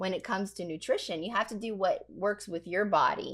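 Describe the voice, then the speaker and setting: A woman's unremarkable speaking voice at medium pitch with ordinary pitch variation. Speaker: pastor and podcast host. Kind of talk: podcast interview questions.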